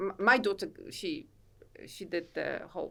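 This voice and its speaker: Speaking at a fairly slow pace with a Polish accent, a woman is heard on a very clean recording with a silent background. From Poland. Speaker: author and self-help coach. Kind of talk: podcast interview. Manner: halting.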